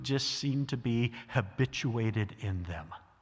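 Somewhat breathy in voice, a man talks with an American accent. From US South. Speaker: guest preacher, theologian. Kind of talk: sermon.

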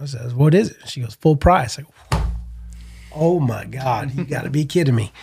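A somewhat breathy man's voice with an American accent and ordinary pitch variation. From US Northeast, Connecticut. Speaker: entrepreneur and team roper. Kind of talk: casual interview chat.

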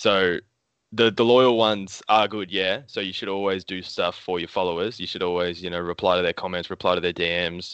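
Very deep, low male voice in an Australian accent, fairly quick and fairly even in intonation. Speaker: comic book artist. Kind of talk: casual chat. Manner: casual, swears often.

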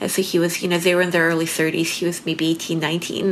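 Over noticeable background noise, a woman speaks at a moderate pace in a fairly low voice. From Belarus. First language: Russian. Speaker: painter. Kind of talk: casual interview chat. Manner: halting, many fillers.

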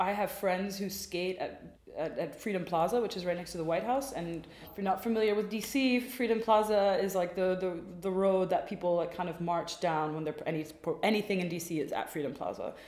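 A woman at a medium pitch speaks at a fairly quick pace, with noticeable background noise and audible room echo. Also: ordinary pitch variation. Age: 20s. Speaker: stylist. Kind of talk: casual chat.

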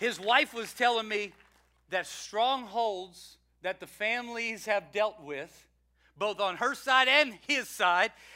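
This man speaks in a solemn tone at a very slow pace, his voice raised and projected. The pitch sits high for a man, with a bright, sharp tone. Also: ordinary pitch variation. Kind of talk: eulogy. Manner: solemn, tender, warmly reverent, like a pastor remembering a friend; measured preaching cadence with repeated 'He was a man'.

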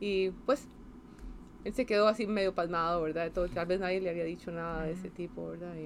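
At a fairly quick pace, a woman uses an ordinary speaking voice with a fairly low pitch and ordinary pitch variation. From Costa Rica, San José. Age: 50s. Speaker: space agency science director. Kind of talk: interview.

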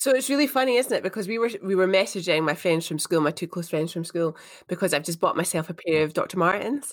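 A woman talks at a very fast pace with an Edinburgh accent. Her intonation is lively. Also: medium pitch for a woman. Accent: Scottish (Edinburgh). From Edinburgh, Scotland. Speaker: co-host, fitness instructor. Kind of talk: casual chat.

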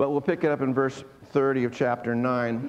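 A man holds a medium pitch and fairly even intonation as noticeable background noise carries on. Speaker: pastor. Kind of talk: sermon.

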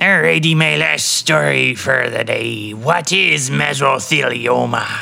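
Using a put-on character voice, a man speaks raspily at a medium pitch and a fairly slow pace. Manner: gruff, mock-pirate.

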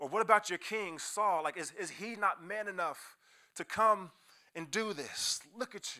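A man with an American accent projects a raised voice at a high pitch, his tone bright and sharp and his loudness swinging widely. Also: ordinary pitch variation, moderate pace. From US Midwest (Kansas City). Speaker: youth pastor. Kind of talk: sermon. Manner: animated.

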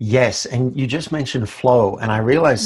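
Somewhat breathy, a man with an Australian accent talks at a fairly quick pace and medium pitch with lively intonation. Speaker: life coach. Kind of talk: interview.

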